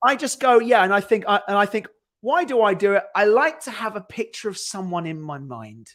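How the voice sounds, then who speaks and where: A man speaks at a fairly quick pace in a high voice with lively intonation and big swings in loudness. The recording is very clean, with a silent background. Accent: British. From Britain. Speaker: screenwriter, podcast co-host. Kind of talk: casual chat. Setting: live stream.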